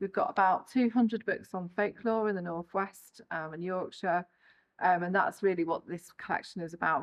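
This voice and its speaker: An ordinary speaking voice, fairly even in intonation, at a moderate pace. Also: woman. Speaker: library creative producer. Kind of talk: casual talk to camera.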